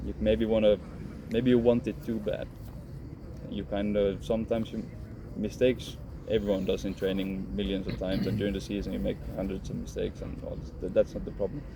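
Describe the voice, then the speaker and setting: A man with a Swedish accent speaks at a fairly low pitch. His pace is fairly quick and his intonation lively. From Finland. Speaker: professional footballer. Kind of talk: interview. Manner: halting.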